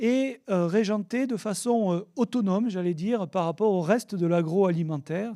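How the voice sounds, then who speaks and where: A man's high-pitched, dark and mellow voice in a southern French accent, fairly slow, with ordinary pitch variation. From southern France, south of the Loire. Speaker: oenologist and wine regulation expert. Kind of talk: conference talk. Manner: hesitant, many fillers.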